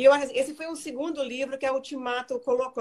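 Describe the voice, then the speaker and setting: A woman is speaking. Her pace is fairly quick. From Brazil, raised in the United States until 16. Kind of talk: interview on Instagram live. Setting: Instagram live video call. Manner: halting, repeats words.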